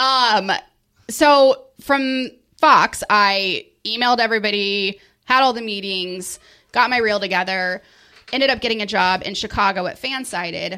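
On a very clean recording with a silent background, a voice with an American accent has a bright, sharp tone. The pace is fairly slow, with ordinary pitch variation. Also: woman, fairly high pitch for a woman. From US Midwest, Springfield, Missouri. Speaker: arena host. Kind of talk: casual chat. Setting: studio.

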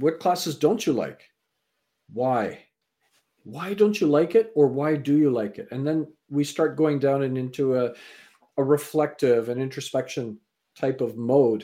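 Pitched fairly high, a man with a Canadian accent uses lively intonation and a dark, mellow tone, leaving long, frequent pauses. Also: fairly slow pace. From Canada. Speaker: speaker and mentor. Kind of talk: interview.

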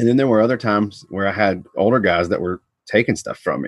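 A man with an American accent talks at a very fast pace. The sound is dry and close, with no echo. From US South, Georgia (Atlanta suburbs). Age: 30s. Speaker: martial arts instructor. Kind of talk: casual interview. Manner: laid back.

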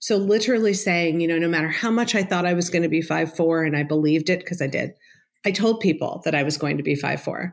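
Here is a woman with a plain, everyday voice, fairly low in pitch with ordinary pitch variation. She talks at a fairly quick pace on a very clean recording with a silent background. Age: 50s. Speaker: psychotherapist. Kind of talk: interview.

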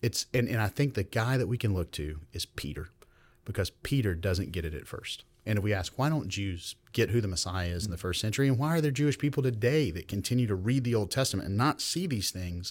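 A man with a Southern US accent speaks at a fairly quick pace and a fairly low pitch. His intonation is lively, and the recording is very clean with a silent background. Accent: Southern US (Georgia). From US South, Georgia (Meriwether County). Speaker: professor of Old Testament. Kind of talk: casual interview, explanatory teaching. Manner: animated.

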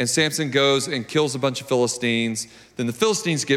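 Pitch variation is ordinary in this natural reading voice.

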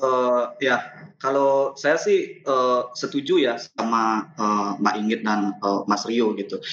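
Speaking at a very slow pace with hardly any pauses, the man keeps his medium pitch in fairly even intonation. Noticeable background noise runs underneath. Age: young. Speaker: playwright and theatre director. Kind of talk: panel discussion. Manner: halting, many fillers and repetitions.

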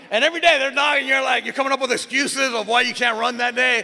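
Over noticeable background noise, a man uses a raised, projected voice at an extremely high pitch, talking very fast with ordinary pitch variation. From Miami. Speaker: pastor. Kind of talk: sermon.

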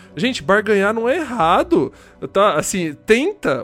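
A man's voice with very wide pitch swings over music in the background. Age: 30s. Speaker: podcast co-host, game collector. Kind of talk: casual chat.

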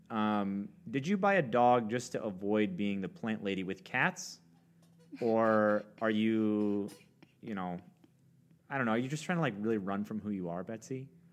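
The speaker talks at a moderate pace with ordinary pitch variation, leaving long, frequent pauses. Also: man, fairly low pitch for a man. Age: 30s. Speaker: podcast co-host. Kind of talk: casual chat.

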